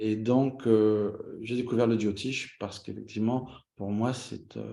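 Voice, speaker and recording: Speaking very slowly, a man with a fairly low pitch has a dark, mellow tone and fairly even intonation. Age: 60s. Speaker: astrologer. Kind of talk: interview.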